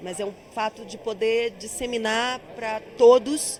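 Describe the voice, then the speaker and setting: A woman with a strong Bahian accent and a fairly high pitch talks over noticeable background noise. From Bahia, Brazil. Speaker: actress and singer. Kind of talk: interview.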